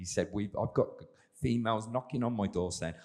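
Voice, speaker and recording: A man with an English accent has a dark, mellow tone and ordinary pitch variation. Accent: English, self-described as dodgy. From England. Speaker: sports scientist, exercise physiologist. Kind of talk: panel discussion.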